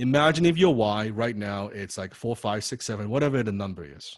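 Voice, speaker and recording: A man speaks at a moderate pace in a medium pitch with a non-native accent. His intonation is lively. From Chinese heritage. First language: not English. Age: 30s. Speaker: copywriting coach. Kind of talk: online class lecture. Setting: online video class. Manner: animated.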